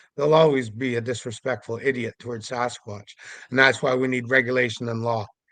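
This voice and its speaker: A man speaks at a fairly quick pace in a medium pitch, in a plain, everyday voice. The background is quiet. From Canada, Vancouver Island, British Columbia. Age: 60s. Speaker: Sasquatch investigator. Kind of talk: podcast interview monologue.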